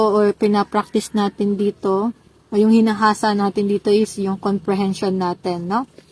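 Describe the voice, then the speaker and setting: A woman speaks with a fairly high, somewhat breathy voice at a moderate pace. The sound is dry and close, with no echo. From Eastern Visayas, Philippines (Waray). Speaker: Korean language exam review teacher. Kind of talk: tutorial. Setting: livestream.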